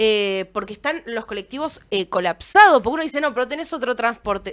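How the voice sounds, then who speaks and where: Over a quiet background, a woman with a Rioplatense accent talks at a very fast pace, her fairly high pitch rising and falling with lively intonation. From Argentina, Buenos Aires area; Argentina. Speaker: streaming show host. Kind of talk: casual chat. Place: studio. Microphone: studio mic.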